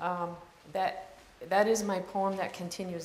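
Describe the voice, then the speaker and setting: Amid noticeable background noise and audible room echo, a woman speaks at medium pitch and moderate pace with fairly even intonation. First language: French. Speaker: poet. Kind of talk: introduction before a poetry reading. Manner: halting, many fillers.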